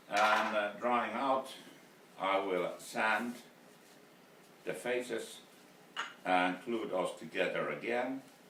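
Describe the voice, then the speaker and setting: In a Finnish accent, a man speaks at a medium pitch with ordinary pitch variation, at a very slow pace broken by long, frequent pauses. Noticeable background noise and audible room echo surround his voice. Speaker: woodturner. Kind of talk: video blog tutorial. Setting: wood turning workshop. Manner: halting, many fillers.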